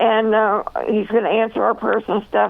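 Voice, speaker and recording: Noticeable background noise is present as a woman talks fairly slowly. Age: 70s. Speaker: author and speaker. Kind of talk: radio interview testimony.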